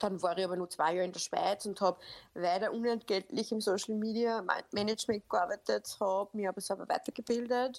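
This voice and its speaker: The sound is dry and close with no echo, on a very clean recording with a silent background. Delivery is fairly quick with fairly even intonation. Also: woman, medium pitch for a woman. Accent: Upper Austrian. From Upper Austria. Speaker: social media coach. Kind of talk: casual podcast interview.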